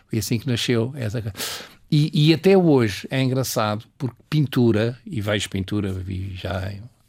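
A man's somewhat breathy, medium-pitched voice, fairly slow in pace, with lively intonation. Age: 80s+. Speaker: painter and retired art teacher. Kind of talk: interview. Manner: halting, with repetitions.

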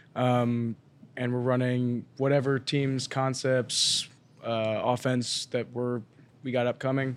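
Speaking at a very slow pace in an American accent, a man holds a medium pitch with monotone, flat intonation. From Colorado, Denver area. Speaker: college basketball walk-on player. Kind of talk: casual chat. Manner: hesitant, many fillers.

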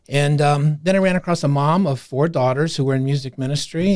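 In a very clean recording with a silent background, a man with an American accent uses an ordinary speaking voice, fairly high in pitch, with ordinary pitch variation and a fairly quick pace. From Iowa, US Midwest. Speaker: university career services director. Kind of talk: interview. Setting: studio.

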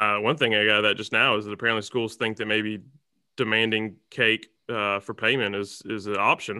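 A man with an Alabama accent talks at a fairly quick pace. His pitch is fairly low and his intonation monotone and flat. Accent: Southern US (Alabama). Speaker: podcast host. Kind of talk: casual interview.

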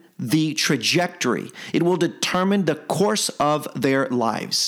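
With a passionate, fairly bright tone, a man speaks at a fairly slow pace and a fairly high pitch, his voice making big pitch swings.

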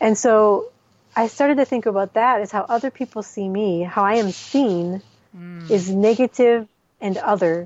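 Moderate pace and ordinary pitch variation from a woman with a plain, everyday voice, her pitch fairly high. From US Midwest. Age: 40s. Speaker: expatriate author. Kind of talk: casual interview.

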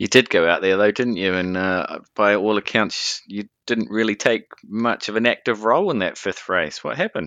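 In a New Zealand accent, a man talks with a bright, sharp tone, the sound dry and close with no echo over a quiet background. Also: fairly low pitch for a man, ordinary pitch variation, moderate pace. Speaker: podcast host. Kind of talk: interview; scripted narration.

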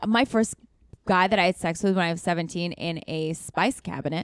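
A woman with an American accent and a plain, everyday voice, medium in pitch with ordinary pitch variation, at a moderate pace, recorded dry and close with no echo. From US Pacific Northwest, Seattle. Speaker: actor and writer. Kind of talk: casual interview chat.

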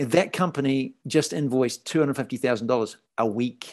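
A man with a New Zealand accent, medium in pitch with ordinary variation, at a very slow pace full of long, frequent pauses. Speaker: podcast host and faith-at-work business leader. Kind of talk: interview conversation.

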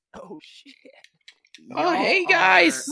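The speaker puts on a character voice pitched high. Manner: friendly, goofy.

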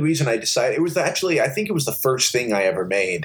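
A man rushes along at a very fast pace, his intonation lively, with noticeable background noise. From US, born in Liverpool, England, moved at six. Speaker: game show contestant guest. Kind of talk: casual chat.

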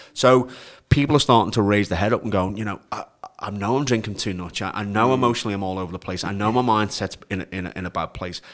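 The speech moves at a very fast pace. Pitch variation is ordinary. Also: man, fairly low pitch for a man. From Liverpool, England. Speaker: men's health program founder. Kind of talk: casual chat.

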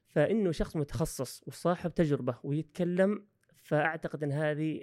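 A man with an ordinary speaking voice talks at a fairly slow pace. His pitch is fairly high with ordinary pitch variation, on a very clean recording with a silent background. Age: 30s. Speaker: university professor and coach. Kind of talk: podcast interview.

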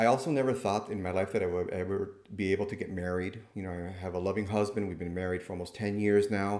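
Using an American accent, a man speaks at a very fast pace with hardly any pauses, in a fairly low pitch and fairly even intonation. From Miami, Florida (Cuban American). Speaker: nurse practitioner and clinical professor. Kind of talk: interview.

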